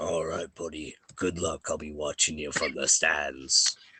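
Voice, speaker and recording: A man puts on a raspy character voice, speaking at a moderate pace with a very deep, low pitch. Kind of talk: bro-ish pep talk. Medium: actual play. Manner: casual, buddy-like.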